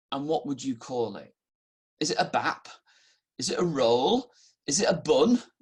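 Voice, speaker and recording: The speaker talks at a fairly slow pace with a northern English accent. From northern England (Halifax, Yorkshire). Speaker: pastor. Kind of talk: sermon. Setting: recorded online service, no live congregation.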